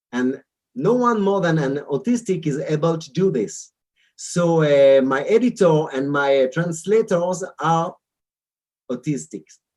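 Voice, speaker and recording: A man with an Israeli accent, high-pitched, with lively intonation and a fairly slow pace. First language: Hebrew. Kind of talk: interview. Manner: halting, many repetitions and fillers.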